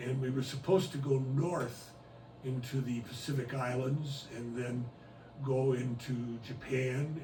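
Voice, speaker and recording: Amid noticeable background noise and audible room echo, a man speaks at a fairly slow pace and medium pitch with monotone, flat intonation. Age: 80s+. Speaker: retired cruise ship chaplain. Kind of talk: oral history interview. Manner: hesitant, with frequent uhs.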